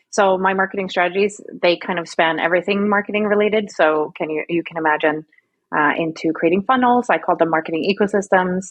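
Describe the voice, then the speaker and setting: A woman's medium-pitched voice with a slight Swedish accent, a very fast pace and ordinary pitch variation. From Sweden. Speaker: marketing strategist. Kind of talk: podcast interview. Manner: casual, chatty.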